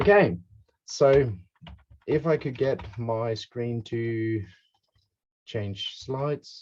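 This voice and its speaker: Speaking at a very slow pace, the man sounds somewhat breathy. Long, frequent pauses break up his speech. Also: medium pitch for a man, ordinary pitch variation. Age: 30s. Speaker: game designer. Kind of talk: online presentation.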